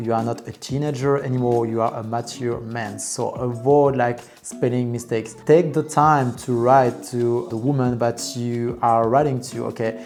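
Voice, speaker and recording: The speaker has a non-native accent and talks at a moderate pace with hardly any pauses and fairly even intonation. Music plays in the background. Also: man, medium pitch for a man. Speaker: dating coach. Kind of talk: advice video monologue. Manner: casual, many fillers.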